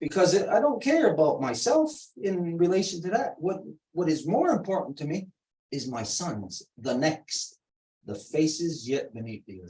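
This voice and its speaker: This man's voice sits high in pitch and swings very widely up and down, with big shifts in loudness. He keeps a moderate pace. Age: 60s. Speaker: ceremony speaker. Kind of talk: ceremonial talk with interpreter. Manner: halting, paced for interpretation.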